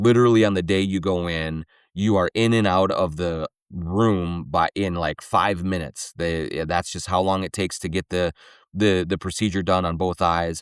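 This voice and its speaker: In a Minnesotan accent, a man with a very deep, low pitch talks with fairly even intonation, and the recording is very clean and dry, close, with no echo and a silent background. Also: moderate pace. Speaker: sports podcast host. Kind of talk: solo podcast commentary with host-read ads. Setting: studio.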